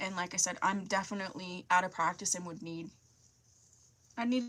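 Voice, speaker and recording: Talking at a fairly quick pace with long, frequent pauses, a woman uses medium pitch and ordinary pitch variation. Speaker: beauty YouTuber. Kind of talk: live stream Q&A. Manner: casual, hesitant with fillers.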